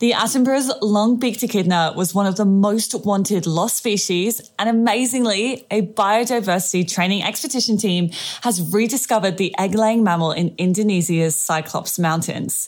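A woman with an Australian accent speaks at a moderate pace and medium pitch, with ordinary pitch variation, very even loudness and hardly any pauses. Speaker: animal trainer podcaster. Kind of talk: scripted news segment.

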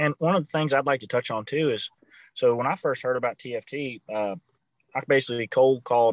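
A man with a plain, everyday voice speaks at medium pitch and a moderate pace, with fairly even intonation, in a dry, close sound with no echo against a quiet background. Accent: American. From Virginia. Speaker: marketing director of conservation group. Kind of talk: casual interview.

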